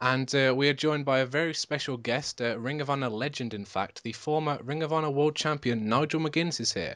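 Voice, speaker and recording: Recorded dry and close with no echo and a quiet background, a man with a British accent talks at a fairly quick pace and fairly high pitch, with ordinary pitch variation. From Britain. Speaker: podcast host. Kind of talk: casual interview.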